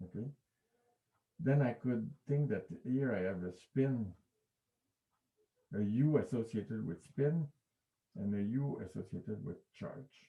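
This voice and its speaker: A man talks at medium pitch with lively intonation and a dark, mellow tone that is somewhat breathy. He leaves long, frequent pauses. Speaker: physics professor. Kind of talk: lecture. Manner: halting.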